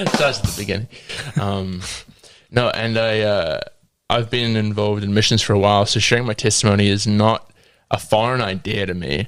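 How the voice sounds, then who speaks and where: On a very clean recording with a silent background, a man with a fairly low pitch speaks at a fairly quick pace with fairly even intonation and long, frequent pauses. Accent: New Zealand. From New Zealand, South Auckland. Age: 20s. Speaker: guest sharing testimony. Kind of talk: testimony; casual chat.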